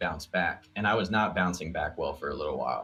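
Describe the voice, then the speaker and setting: A man with an American accent speaks at a fairly quick pace and fairly low pitch. Music plays in the background. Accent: New York accent with slight western twang. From Montana, US (born New York). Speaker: concert videographer. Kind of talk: casual podcast chat.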